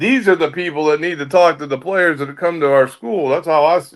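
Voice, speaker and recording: This man has an ordinary speaking voice at a fairly high pitch, with ordinary pitch variation. He keeps a moderate pace. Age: 50s. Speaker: former football player, pregame analyst. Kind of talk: casual chat.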